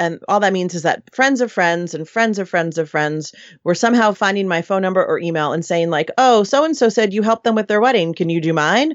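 This woman has an unremarkable speaking voice, medium in pitch, with lively intonation, a fairly quick pace and an American accent. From New York City. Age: 40s. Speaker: wedding planner. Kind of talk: casual interview chat.

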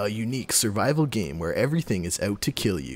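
A man's put-on character voice, fairly low in pitch and very fast, on a very clean recording with a silent background. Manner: dramatic, epic.

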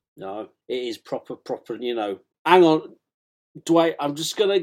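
A man with a British accent and a fairly high pitch speaks at a fairly slow pace, with very wide pitch swings and big swings in loudness. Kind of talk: book reading and chat interview, comedic. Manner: hesitant, stammering.

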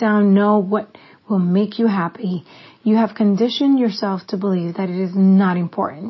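At a moderate pace, a woman talks in a somewhat breathy voice of medium pitch with fairly even intonation. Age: 40s. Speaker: podcast host. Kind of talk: reading aloud a personal letter.

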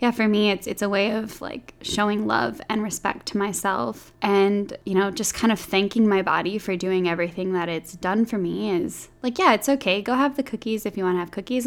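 With a normal speaking voice, a woman talks at a moderate pace and a medium pitch, using ordinary pitch variation and hardly any pauses. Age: 20s. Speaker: podcast host. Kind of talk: casual chat.

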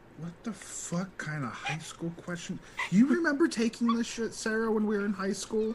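Noticeable background noise behind a high-pitched man with lively intonation at a moderate pace. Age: 20s. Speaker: podcast producer. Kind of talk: casual chat. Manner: animated.

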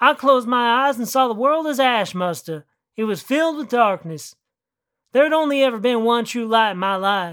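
With a rural American accent and lively intonation, the speaker is heard on a very clean recording with a silent background. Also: woman, high pitch for a woman. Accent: exaggerated rural American country drawl. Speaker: fiction writer narrating own story. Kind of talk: dramatic narration. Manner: rising tension in action beats, then a punchy comic payoff.

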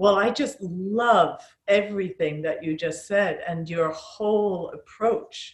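A woman with a somewhat breathy voice speaks at a very slow pace, with ordinary pitch variation. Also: medium pitch for a woman. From Falkland Islands. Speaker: yoga teacher. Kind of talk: interview chat.

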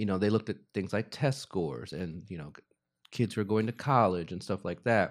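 Heard on a very clean recording with a silent background, a man with a normal speaking voice talks at a fairly quick pace and a fairly low pitch, his intonation lively. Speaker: parent of student, guest. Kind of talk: casual conversational interview. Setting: video recording for YouTube.

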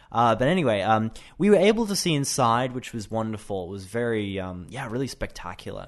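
Speaking fairly quickly with hardly any pauses, a man with an Australian accent uses lively intonation at a medium pitch, his loudness swinging widely. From Australia, Brisbane. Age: 20s. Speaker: English teacher. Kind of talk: casual chat. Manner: halting.

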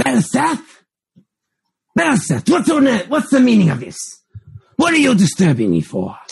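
A put-on character voice with long, frequent pauses. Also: man, high pitch for a man, moderate pace. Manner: imperious, annoyed.

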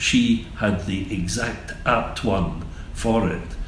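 A man with a Scottish accent keeps a fairly even intonation, with audible room echo and noticeable background noise. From Scotland, Glasgow area. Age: 70s. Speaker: gallery owner. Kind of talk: interview. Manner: halting.

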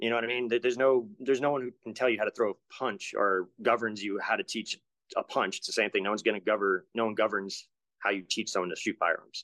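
With an American accent and a bright, sharp tone, a man talks at a very fast pace and medium pitch, his intonation fairly even and the sound dry and close with no echo. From Rhode Island and Mississippi, US. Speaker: martial arts and firearms instructor. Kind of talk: casual chat.

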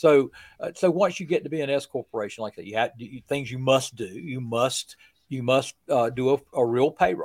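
A normal speaking voice from a man at medium pitch, moderate in pace with ordinary pitch variation and big swings in loudness, in a dry, close sound with no echo. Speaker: trucking business owner, tax and accounting guest. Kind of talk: casual chat. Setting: hotel bar.

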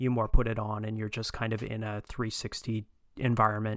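A man speaks in a fairly low voice with monotone, flat intonation. The recording is very clean, with a silent background. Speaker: guest. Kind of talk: casual chat.

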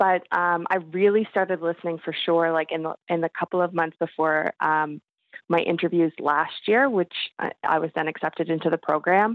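A woman with an ordinary speaking voice talks at a fairly low pitch. Her pace is moderate, her intonation fairly even. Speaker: listener and fan of the show.

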